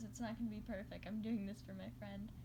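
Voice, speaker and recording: A woman talks with audible room echo and noticeable noise in the background. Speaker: amateur fanfiction reader. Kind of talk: reading aloud. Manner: halting.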